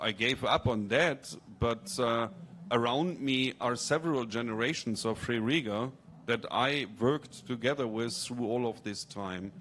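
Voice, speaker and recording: A man talks at a fairly slow pace in a plain, everyday voice. His pitch sits in the medium range, with ordinary variation. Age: 50s. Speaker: architecture lecturer. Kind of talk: audience comment at panel discussion.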